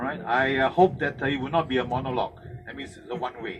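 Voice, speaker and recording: The speaker has a Singaporean accent and a fairly quick pace, with ordinary pitch variation. Background noise is noticeable. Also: man. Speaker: tour guide. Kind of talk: guided tour briefing. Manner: hesitant, many fillers.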